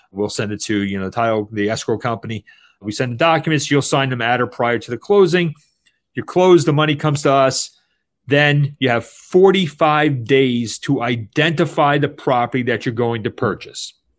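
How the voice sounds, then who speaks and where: A man with a plain, everyday voice speaks at a medium pitch and moderate pace, with ordinary pitch variation over a quiet background. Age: 50s. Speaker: tax exchange facilitator, former attorney. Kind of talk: interview.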